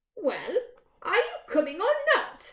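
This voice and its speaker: A woman performs a put-on character voice at an extremely high pitch. Her pitch swings very widely. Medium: read story. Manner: brisk, homely, calls others dear.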